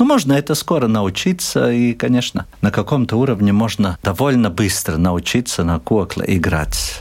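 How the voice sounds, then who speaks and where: At a moderate pace and with hardly any pauses, a man of medium pitch uses lively intonation while keeping his loudness very even. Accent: Latvian. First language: Latvian (speaking Russian). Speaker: ethnomusicologist and professor. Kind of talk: interview.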